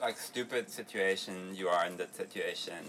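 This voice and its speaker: A man with a fairly low pitch keeps a moderate pace while noticeable background noise plays behind him. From Berlin, Germany. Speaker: travel podcast co-host. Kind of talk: casual chat.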